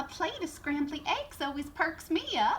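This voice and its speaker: A woman's high-pitched, put-on character voice at a moderate pace, with clear background noise. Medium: read story.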